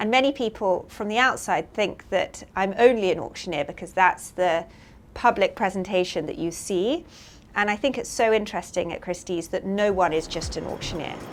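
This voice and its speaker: With ordinary pitch variation, a normal speaking voice proceeds at a moderate pace. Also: woman, medium pitch for a woman. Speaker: auctioneer and head of classic art at an auction house. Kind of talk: interview answer.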